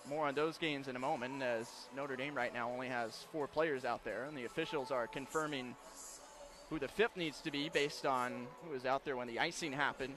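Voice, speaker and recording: Over noticeable background noise, a man talks at a fairly quick pace. His voice is fairly high, with fairly even intonation. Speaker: radio play-by-play announcer. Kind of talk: fast live hockey play-by-play. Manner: quick, rapid-fire.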